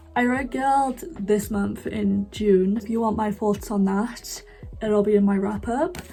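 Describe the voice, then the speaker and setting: A woman speaks at a medium pitch with a British accent and ordinary pitch variation. Noticeable background noise runs behind her. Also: fairly slow pace. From UK. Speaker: book youtuber. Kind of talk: casual monologue. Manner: chatty, frequent fillers.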